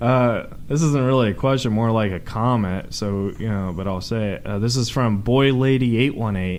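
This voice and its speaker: In a room with audible echo, a man talks at a moderate pace with hardly any pauses. His pitch is medium, with ordinary variation. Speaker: podcast host. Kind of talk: casual chat. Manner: halting.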